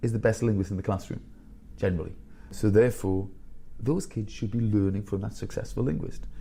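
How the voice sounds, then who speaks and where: This man has a dark, mellow tone, fairly low pitch, ordinary pitch variation and vocal fry, and he talks at a fairly quick pace. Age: 50s. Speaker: school headteacher. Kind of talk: podcast interview. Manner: animated.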